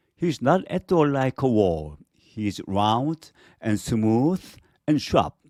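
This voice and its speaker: In a Korean accent, a man speaks at a very slow pace and medium pitch, the sound dry and close with no echo on a very clean recording with a silent background. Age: 50s. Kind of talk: children's story reading.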